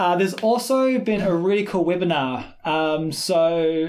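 Pitched high, a man with a New Zealand accent speaks with ordinary pitch variation. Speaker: swing dance teacher and podcast co-host. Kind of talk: casual chat.

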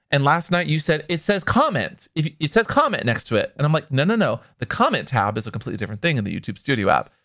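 Bright and sharp with vocal fry, a man's fairly high voice makes very wide pitch swings. He talks very fast with hardly any pauses. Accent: American. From US Pacific Northwest. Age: 30s. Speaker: podcast co-host. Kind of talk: casual chat. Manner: animated.

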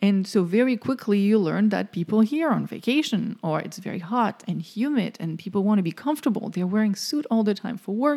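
A woman with a French accent speaks at a fairly quick pace in a dark, mellow tone, her medium pitch showing ordinary variation, on a very clean recording with a silent background. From France. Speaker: podcast co-host. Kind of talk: casual chat.

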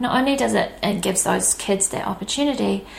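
A woman talks with a New Zealand accent. There is noticeable background noise. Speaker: podcast host. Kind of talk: podcast intro.

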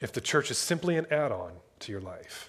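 Over a silent background, a man talks at an unhurried, average speed in a very clean recording. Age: 30s. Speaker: pastor. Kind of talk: sermon. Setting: church.

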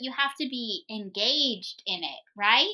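A woman projects a raised voice that is high in pitch, with a bright, sharp tone. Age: 40s. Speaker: homeschool podcast co-host and teacher. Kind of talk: casual chat.

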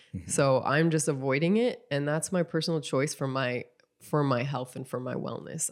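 Over a very clean recording with a silent background, a woman with a very deep, low pitch speaks at a fairly quick pace with ordinary pitch variation. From North Dakota. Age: 30s. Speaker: podcast co-host. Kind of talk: casual chat.

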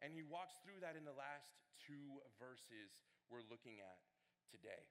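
A man speaks loudly with a bright, sharp tone. His delivery is animated, with lively intonation at a moderate pace. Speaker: student ministry director preaching. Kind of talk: sermon. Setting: church with congregation.

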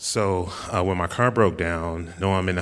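A man speaks in a monotone, with flat intonation. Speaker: church member sharing testimony. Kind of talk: testimony. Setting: church. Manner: loud.

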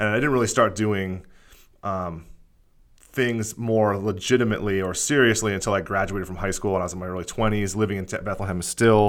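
With an American accent, a man talks at a fairly quick pace in a normal speaking voice, fairly low in pitch. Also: fairly even intonation. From Pennsylvania, Lehigh Valley. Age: 30s. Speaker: podcast host. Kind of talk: casual chat.

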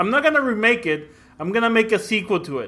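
A man with an American accent talks at a moderate pace, his pitch high and his tone bright and sharp. His voice is raised and projected, with lively intonation. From Mexico and Brownsville, Texas (border). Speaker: podcast guest. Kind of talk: casual chat. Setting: call.

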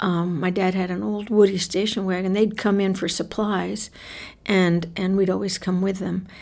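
Her voice is a plain, everyday voice. The woman speaks at medium pitch with fairly even intonation. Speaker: author and oral historian. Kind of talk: interview.

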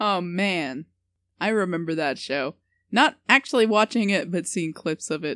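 A woman with an American accent and a normal speaking voice, fairly low in pitch, lively in intonation, at a moderate pace, in a dry, close sound with no echo on a very clean recording with a silent background. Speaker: podcast co-host. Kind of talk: casual comedic chat.

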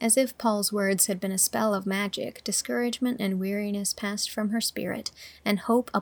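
Fairly even intonation in plain reading aloud

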